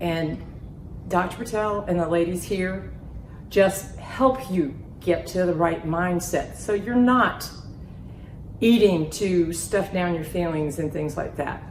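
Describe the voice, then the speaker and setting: At a very slow pace with long, frequent pauses, a woman speaks at a fairly low pitch with ordinary pitch variation, amid noticeable background noise and audible room echo. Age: 60s. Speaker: weight loss patient. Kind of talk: testimonial interview. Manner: animated.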